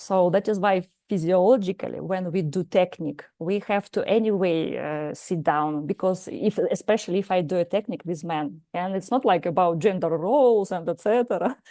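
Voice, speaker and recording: A woman with a Russian accent speaks in a dark, mellow tone at medium pitch. Her pace is moderate, with ordinary pitch variation and hardly any pauses. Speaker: psychologist and martial arts teacher. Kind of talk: lecture. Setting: live lecture with audience. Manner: halting, many hesitations.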